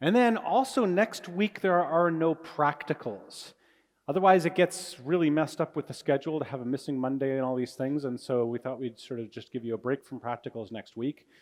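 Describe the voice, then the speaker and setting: In a Canadian accent, a man with a fairly high pitch speaks with lively intonation on a very clean recording with a silent background. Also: fairly quick pace. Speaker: university physics lecturer. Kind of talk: lecture. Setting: large lecture hall with audience. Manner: fast; animated.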